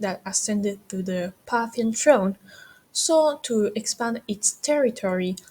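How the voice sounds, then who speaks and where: A woman speaks at a fairly slow pace. Her dark, mellow tone carries lively intonation. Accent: non-native. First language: not English. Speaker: history student. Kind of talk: educational history explainer.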